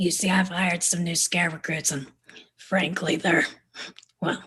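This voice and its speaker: A put-on character voice, female-sounding and raspy, sits at a middle pitch. The pace is moderate and the intonation is monotone and flat. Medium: stage play.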